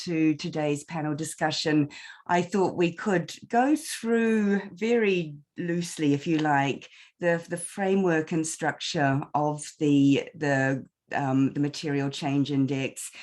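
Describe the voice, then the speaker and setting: Against a quiet background, a woman speaks with a New Zealand accent and lively intonation. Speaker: panel moderator. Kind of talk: webinar panel discussion. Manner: halting, many repetitions.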